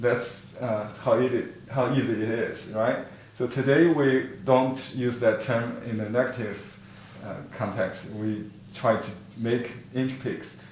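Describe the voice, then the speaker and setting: A man talks at a very slow pace and medium pitch, his intonation fairly even. Room echo is audible, and background noise is noticeable. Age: 50s. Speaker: painting teacher. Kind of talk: online class lecture. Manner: halting, many fillers.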